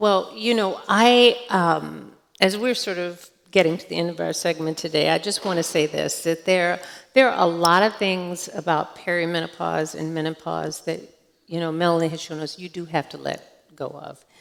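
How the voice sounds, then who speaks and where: A plain, everyday voice: a woman at a fairly low pitch, moderate pace and ordinary pitch variation, with big swings in loudness. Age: 60s. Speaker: physician and menopause expert. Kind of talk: onstage conversation.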